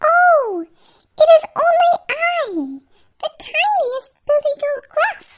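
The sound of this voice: An extremely high put-on character voice with very wide pitch swings at a very slow pace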